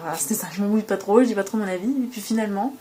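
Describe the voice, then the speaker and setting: A woman's fairly even intonation comes through noticeable background noise. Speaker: tarot reader and spiritual channeler. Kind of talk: tarot reading guidance. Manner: fast.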